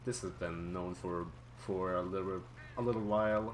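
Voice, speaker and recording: In an audibly echoing room, a man with a non-native accent speaks at a moderate pace, his very deep, low pitch carrying lively intonation. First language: not English. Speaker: speedrunner. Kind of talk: live gameplay commentary. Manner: casual, halting with repetitions.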